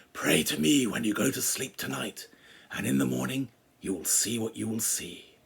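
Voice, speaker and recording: A man in a put-on character voice, raspy and fairly low-pitched, with very wide pitch swings at a moderate pace. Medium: read story. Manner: shouting, bellowing.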